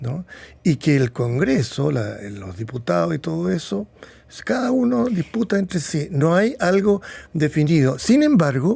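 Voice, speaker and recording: A fairly slow, somewhat breathy delivery in a dark, mellow tone, full of very wide pitch swings. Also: man, fairly high pitch for a man. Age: 70s. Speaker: psychiatrist. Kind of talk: interview.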